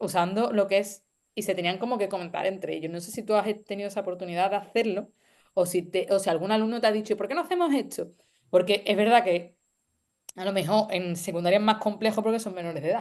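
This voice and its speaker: Against a quiet background, a woman talks at a very fast pace with ordinary pitch variation. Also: medium pitch for a woman. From Andalusia, Spain (Seville). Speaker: university lecturer. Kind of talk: panel discussion.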